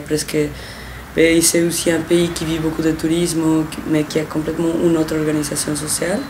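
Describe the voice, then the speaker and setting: A woman's very deep, low-pitched voice with a Spanish accent, monotone and flat at a moderate pace, with audible room echo and noticeable background noise. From Mexico. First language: Spanish (speaking French). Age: 20s. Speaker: volunteer. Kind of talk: interview. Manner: hesitant, with restarts.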